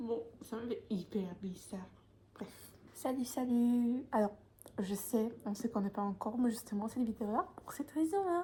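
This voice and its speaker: A woman speaks fairly slowly at a fairly high pitch. Her intonation is lively. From Poland. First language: Polish (speaking French). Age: 20s. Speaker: vlogger. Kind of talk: casual vlog talk to camera. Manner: hesitant, many fillers.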